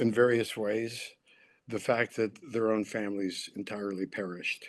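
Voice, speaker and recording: The background is quiet as a man speaks with an American accent. His intonation is monotone and flat. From San Francisco, US. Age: 70s. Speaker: author. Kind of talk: public talk.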